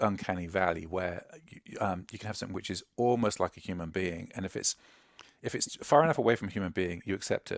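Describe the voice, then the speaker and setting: The speaker talks at a fairly quick pace with an English accent. The recording is very clean, with a silent background and a dry, close sound with no echo. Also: man. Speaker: UX expert. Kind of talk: casual panel chat.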